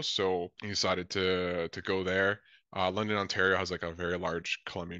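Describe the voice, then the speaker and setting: Moving at a fairly quick pace, a man talks in a very deep, low pitch. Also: quiet background, dry sound with no echo. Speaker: podcast guest. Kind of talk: interview answer. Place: home room. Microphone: video call.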